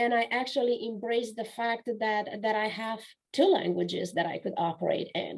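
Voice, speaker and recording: A woman speaks with a Romanian accent. Her pitch is fairly high, with ordinary pitch variation. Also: moderate pace. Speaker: author and business coach. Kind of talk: interview testimony.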